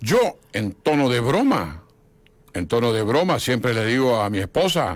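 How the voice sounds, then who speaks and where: A man at medium pitch with very wide pitch swings and a fairly slow pace, in a very clean recording with a silent background. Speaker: historian and author. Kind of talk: radio interview.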